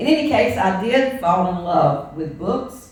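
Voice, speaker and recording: A woman with a Southern US accent at medium pitch, with very wide pitch swings and audible room echo. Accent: Southern US (Georgia). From US South, Georgia (Statesboro). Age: 70s. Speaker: minister. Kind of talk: sermon.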